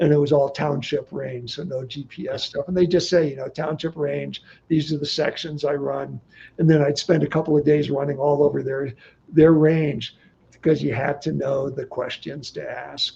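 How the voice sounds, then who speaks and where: A man's dark, mellow, somewhat breathy voice with an American accent and monotone, flat intonation. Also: fairly high pitch for a man, moderate pace. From California (Bay Area). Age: 70s. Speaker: desert explorer and guidebook author. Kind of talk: livestream interview. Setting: livestream. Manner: halting, many false starts.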